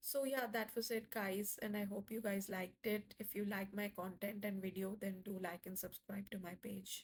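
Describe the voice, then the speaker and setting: At a moderate pace, a somewhat breathy woman speaks at a medium pitch in a monotone, flat intonation. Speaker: home cooking video creator. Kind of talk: voiceover tutorial. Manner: casual, with fillers.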